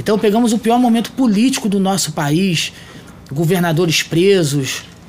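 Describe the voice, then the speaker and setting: Noticeable background noise sits behind the speech. A man talks at a moderate pace, his pitch varying in an ordinary way. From Rio de Janeiro state, Brazil. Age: 40s. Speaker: mayor. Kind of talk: interview. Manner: formal.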